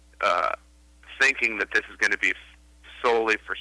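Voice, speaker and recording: A man with a Chicago accent, dry and close with no echo. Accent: Chicago American. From US Midwest, Chicago. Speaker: film director. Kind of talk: interview. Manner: halting, with frequent repetitions.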